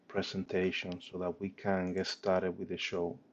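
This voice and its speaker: A man with a very deep, low pitch and a strong non-native accent, at a fairly slow pace. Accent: heavy foreign. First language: not English. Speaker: startup founder and CEO. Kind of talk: presentation and product demo. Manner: hesitant with many fillers.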